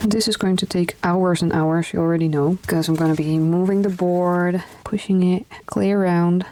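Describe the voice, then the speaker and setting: Over noticeable background noise, a woman with a strong Dutch accent speaks at a moderate pace with a medium pitch and fairly even intonation. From Netherlands. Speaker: craft YouTuber. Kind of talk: tutorial. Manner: casual, conversational.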